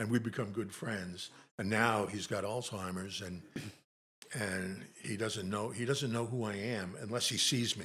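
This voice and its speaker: Audible room echo surrounds a man's fairly low voice, bright and sharp in tone, delivered at a moderate pace with ordinary pitch variation. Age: 80s+. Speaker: Navy Vietnam veteran. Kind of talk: casual chat.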